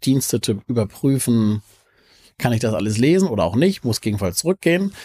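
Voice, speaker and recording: Lively intonation from a man with a medium-pitched voice and dark, mellow tone, in a dry, close sound with no echo on a very clean recording with a silent background. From Hamburg, northern Germany. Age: 50s. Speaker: entrepreneur. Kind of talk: casual interview. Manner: halting, frequent word repetitions.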